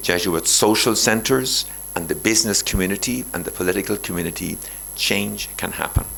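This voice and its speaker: Against noticeable background noise, a man with an Irish accent talks at a moderate pace in a very deep, low pitch with ordinary pitch variation. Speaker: Jesuit priest, guest speaker. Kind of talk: lecture. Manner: animated.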